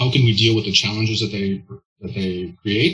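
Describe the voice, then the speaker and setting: Music plays in the background. A man talks fairly quickly at a fairly low pitch with fairly even intonation. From US Pacific Northwest (Olympia, Washington). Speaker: startup founder and CEO in energy tech. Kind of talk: interview.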